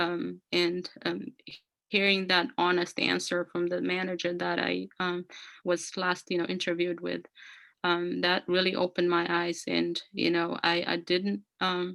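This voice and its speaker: A woman speaks with an Ethiopian accent. Her pace is fairly slow. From Ethiopia, rural north. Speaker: career speaker sharing immigrant story. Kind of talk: personal testimony. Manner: halting, many fillers (um, you know).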